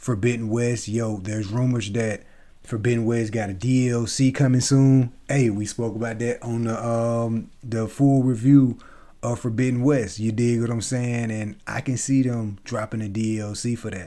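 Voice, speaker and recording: The voice has a dark, mellow tone. The recording is very clean, with a silent background. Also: man, medium pitch for a man. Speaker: gaming podcaster. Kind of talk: casual solo monologue. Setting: home recording via podcast app. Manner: fast; animated.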